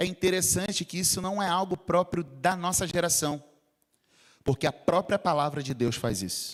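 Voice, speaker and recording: A man speaks with a Rio de Janeiro accent. His pitch is high, with ordinary variation. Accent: carioca (Rio). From Rio de Janeiro, Brazil. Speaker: pastor. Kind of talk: sermon. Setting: church.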